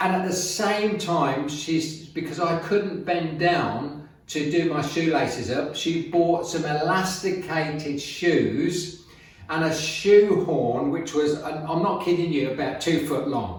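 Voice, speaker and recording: Over noticeable background noise and audible room echo, a man speaks very slowly in a high voice with fairly even intonation. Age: 70s. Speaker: fitness and business motivational video maker. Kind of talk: casual talk to camera. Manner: hesitant, with many fillers.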